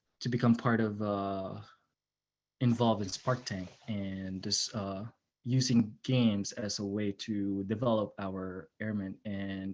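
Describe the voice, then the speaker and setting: Speaking at a very slow pace, a man keeps his intonation flat and monotone. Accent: non-native. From immigrant to the US, non-US upbringing. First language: not English. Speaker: airman. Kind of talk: personal introduction at virtual panel. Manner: halting, many fillers.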